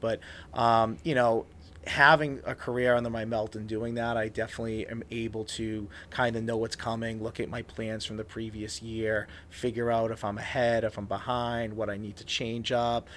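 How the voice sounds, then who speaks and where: Speaking in a flat monotone, a man with an American accent keeps a moderate pace and medium pitch. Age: 30s. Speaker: elementary school teacher and podcaster. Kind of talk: casual podcast interview. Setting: studio with headphones and microphone.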